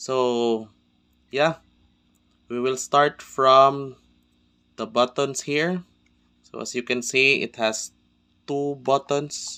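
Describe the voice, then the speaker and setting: With a non-native accent, a man of medium pitch talks at a very slow pace with long, frequent pauses and fairly even intonation on a very clean recording with a silent background. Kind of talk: casual gear tutorial talk. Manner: casual, hesitant with fillers.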